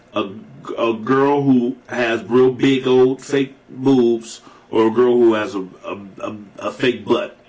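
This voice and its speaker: Against noticeable background noise, a man of medium pitch talks at a very slow pace with fairly even intonation. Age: 40s. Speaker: podcast co-host. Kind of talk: casual chat. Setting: studio.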